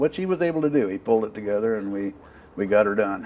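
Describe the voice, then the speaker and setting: A man's fairly low voice with fairly even intonation, over noticeable background noise. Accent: American. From US Midwest, Iowa. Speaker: war veteran. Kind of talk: oral history interview.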